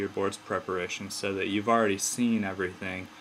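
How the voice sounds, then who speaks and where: This man's voice sits at a fairly low pitch. Noticeable background noise runs behind him. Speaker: medical student. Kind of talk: tutorial.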